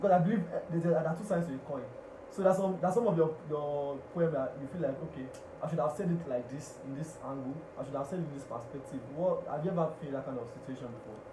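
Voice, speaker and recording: A man's fairly high voice at a very fast pace, with ordinary pitch variation, big swings in loudness and noticeable background noise. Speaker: radio host and public speaker. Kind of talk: radio talk show host interviewing a guest.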